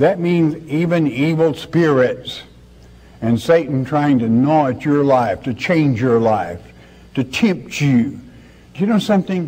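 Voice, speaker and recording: Dark and mellow in tone, a man speaks at a fairly slow pace. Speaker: preacher. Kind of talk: sermon. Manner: earnest, conversational preaching, pausing to ask rhetorical questions.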